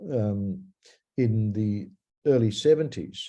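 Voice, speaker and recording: A man's medium-pitched voice with an Australian accent, dark and mellow in tone, over a quiet background. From Australia (Melbourne). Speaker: singer-songwriter. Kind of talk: interview. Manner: halting, many fillers.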